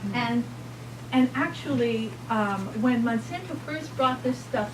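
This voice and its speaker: A woman with an American accent speaks at a moderate pace with very wide pitch swings, amid noticeable background noise and audible room echo. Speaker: physician speaker. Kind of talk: lecture. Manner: animated.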